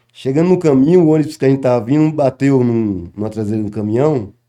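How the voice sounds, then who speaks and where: A man's dark, mellow tone at a fairly quick pace, with ordinary pitch variation. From Bahia, Brazil. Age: 60s. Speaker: capoeira master. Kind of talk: interview.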